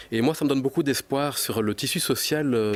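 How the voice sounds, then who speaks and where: A man with a slight Belgian accent talks at a fairly quick pace. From Belgium. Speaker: psychology researcher and author. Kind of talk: TV news interview.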